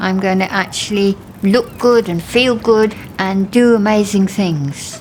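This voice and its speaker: A woman with a British accent speaks at a medium pitch. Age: 70s. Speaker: pensioner featured in a fashion documentary. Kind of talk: documentary interview.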